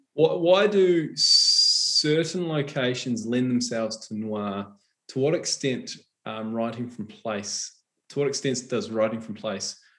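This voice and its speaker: A man with a New Zealand accent, medium in pitch, very slow, with lively intonation. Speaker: novelist interviewer. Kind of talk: live author interview. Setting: online live event.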